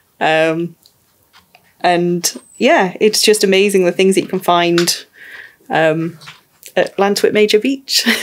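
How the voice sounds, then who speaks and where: In a Welsh accent, a woman talks at a very slow pace, leaving long, frequent pauses. Her loudness stays very even, and her pitch varies in an ordinary way. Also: medium pitch for a woman. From rural mid Wales. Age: 30s. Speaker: mature student. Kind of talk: documentary interview.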